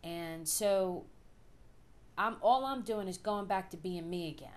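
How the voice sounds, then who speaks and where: A woman's medium-pitched voice in a strong Philadelphia accent, with ordinary pitch variation and audible room echo. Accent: thick Philadelphia. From US Northeast, Philadelphia. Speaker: vlogger. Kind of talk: personal video diary. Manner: casual, with frequent fillers.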